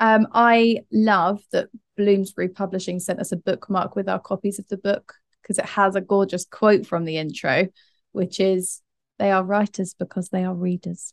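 This is an ordinary speaking voice, a woman's at medium pitch with fairly even intonation. She keeps a moderate pace, and the sound is dry and close with no echo. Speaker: podcast host. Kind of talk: casual chat.

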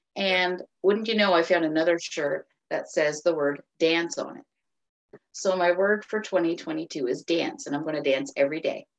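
A woman's fairly low voice with ordinary pitch variation and an Atlantic Canadian accent, at a moderate pace. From Cape Breton, Nova Scotia, Canada. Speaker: author. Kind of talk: interview.

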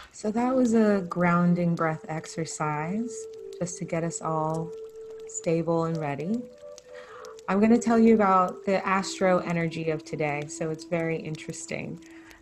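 Over music in the background, a woman speaks at a fairly low pitch and a moderate pace with ordinary pitch variation. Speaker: host, spiritual healer. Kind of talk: intro, then guided breathing. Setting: live virtual call.

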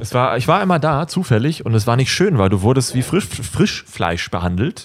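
Barely pausing, a man speaks at a medium pitch with very wide pitch swings over noticeable background noise. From Germany. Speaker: YouTuber and filmmaker. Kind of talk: casual chat.

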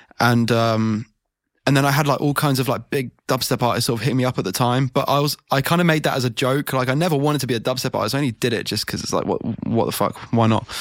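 The recording is very clean, with a silent background. A man speaks very fast at medium pitch with fairly even intonation. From England. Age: 20s. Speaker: drum and bass producer. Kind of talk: casual chat. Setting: studio.

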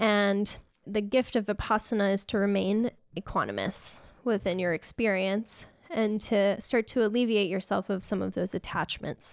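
A woman with an unremarkable speaking voice talks at a moderate pace in a medium pitch, her intonation fairly even, and the sound is dry and close with no echo. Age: 30s. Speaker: Reiki practitioner and yoga teacher. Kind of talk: casual chat.

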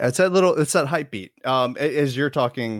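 With lively intonation and a plain, everyday voice, a man talks at a fairly quick pace in a dry, close sound with no echo. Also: very clean recording, silent background. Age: 30s. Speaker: podcast co-host. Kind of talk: casual chat. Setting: live-streamed podcast recording.

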